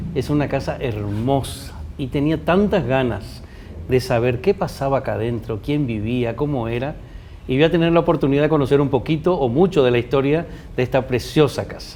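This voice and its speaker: Amid noticeable background noise, a man speaks at a moderate pace in a medium pitch with ordinary pitch variation. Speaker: TV presenter. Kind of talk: interview.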